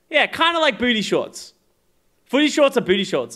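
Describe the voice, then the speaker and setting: An animated voice at a moderate pace with very wide pitch swings, on a very clean recording with a silent background. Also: man. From Australia. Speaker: esports pro player and streamer. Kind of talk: live stream reaction, casual chat. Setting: live stream.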